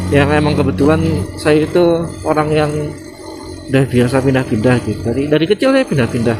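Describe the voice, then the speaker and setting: Ordinary pitch variation in a Javanese accent, with long, frequent pauses and music in the background. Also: man, very even loudness. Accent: Javanese-tinged accent in Indonesian. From Indonesia, West Java and Brebes (Central Java). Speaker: motovlogger. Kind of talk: casual vlog narration while riding. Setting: outdoors on a motorbike. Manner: casual, hesitant fillers.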